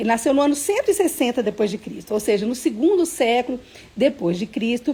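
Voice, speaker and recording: Very wide pitch swings mark a woman's high voice. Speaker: children's Bible teacher. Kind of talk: online Bible lesson for kids. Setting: livestream. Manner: slow, patient.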